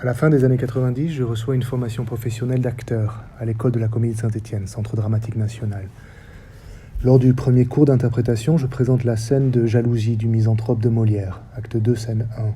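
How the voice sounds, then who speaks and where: A man at medium pitch with monotone, flat intonation and a fairly quick pace, with audible room echo. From French Basque Country. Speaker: theatre director and researcher. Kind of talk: lecture. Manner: formal.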